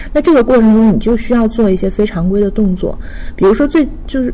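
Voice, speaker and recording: A woman talks at a very fast pace in a fairly high pitch. Background noise is noticeable. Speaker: marketing professional. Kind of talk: casual chat.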